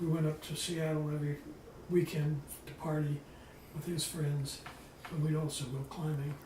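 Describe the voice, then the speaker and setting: There is noticeable background noise and audible room echo. A man with a fairly high pitch speaks at a moderate pace in a monotone, flat intonation, leaving long, frequent pauses. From California, Bay Area. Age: 80s+. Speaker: retired wildlife professor. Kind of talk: oral history interview. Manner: halting.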